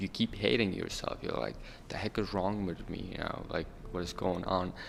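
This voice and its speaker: A man's very deep, low pitch carries his words at a moderate pace. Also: ordinary pitch variation. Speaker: refugee youth panelist. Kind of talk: panel discussion. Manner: halting.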